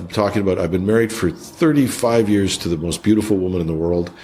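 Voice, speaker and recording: A man's fairly low-pitched voice with a Canadian accent and lively intonation, over noticeable background noise. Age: 60s. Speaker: IT executive and songwriter. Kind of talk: interview conversation. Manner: halting, many repeated words.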